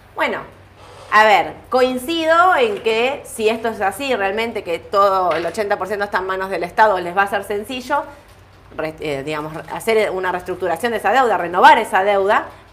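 At a medium pitch, a woman speaks over noticeable background noise. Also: moderate pace. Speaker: stock market show host. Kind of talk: market commentary livestream.

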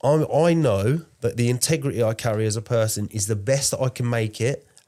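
A man's dark, mellow voice at a fairly quick pace, on a very clean recording with a silent background. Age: 30s. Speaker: podcast co-host. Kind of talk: casual chat.

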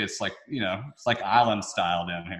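A man speaks with a Southern US accent. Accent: Southern US, noticeable twang. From Memphis, Tennessee. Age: 20s. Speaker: real estate developer. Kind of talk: casual interview.

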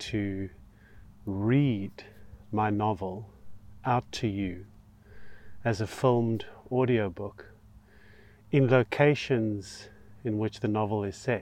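A man's very slow, calm speech with ordinary pitch variation over a quiet background. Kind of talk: literary audiobook reading. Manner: measured, storyteller pacing; calm, inviting.

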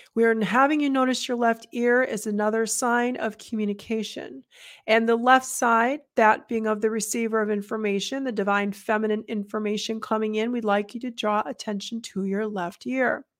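A woman speaks in an unremarkable speaking voice, fairly high in pitch, at a moderate pace. Her intonation is fairly even, and the recording is very clean with a silent background. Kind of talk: guided meditation. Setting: solo recording, addressing listeners. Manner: calm, instructive, channeling tone.

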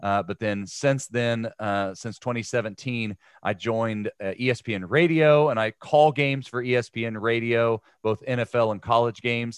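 A very slow voice in a Midwestern American accent, with ordinary pitch variation, a dry, close sound with no echo and a quiet background. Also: man, medium pitch for a man. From Ohio. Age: 40s. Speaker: former pro football player and sports broadcaster. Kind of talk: casual interview.

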